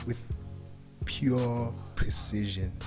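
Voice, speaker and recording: A man's medium-pitched voice with music in the background. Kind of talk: humorous voiceover narration of a makeup video. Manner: casual, hesitant, joking.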